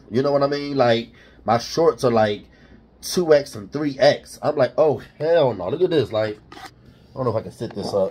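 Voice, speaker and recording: A somewhat breathy male voice at a medium pitch and moderate pace, with ordinary pitch variation. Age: 30s. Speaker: vlogger. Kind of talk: casual vlog monologue. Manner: halting, many fillers. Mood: candid, determined, joking. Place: kitchen. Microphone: phone near.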